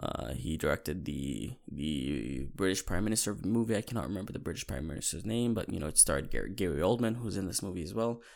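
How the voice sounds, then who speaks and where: On a very clean recording with a silent background, a man talks at a very fast pace with hardly any pauses, his very deep, low pitch swinging very widely and showing vocal fry. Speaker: podcast host, movie fan. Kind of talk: solo casual movie talk. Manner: casual, repetitive with false starts.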